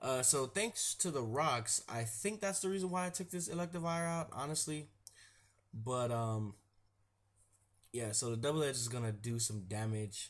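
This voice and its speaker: Somewhat breathy, a man at medium pitch speaks at a moderate pace with lively intonation and long, frequent pauses. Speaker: gaming commentator. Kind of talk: casual game commentary. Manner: casual, relaxed.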